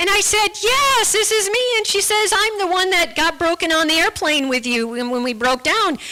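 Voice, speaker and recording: A woman with an American accent speaks in a raised, projected voice at an extremely high pitch with very wide pitch swings. Her pace is moderate, and there is noticeable background noise. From United States. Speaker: guest speaker sharing her faith story. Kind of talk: testimony. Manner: halting, with many repeated words.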